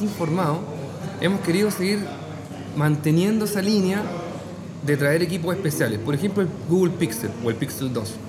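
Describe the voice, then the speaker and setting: Amid noticeable background noise and audible room echo, a man speaks quickly-ish in a fairly high voice, at a fairly quick pace. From Chile, Talca. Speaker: phone shop owner. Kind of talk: casual interview over drinks. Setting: bar.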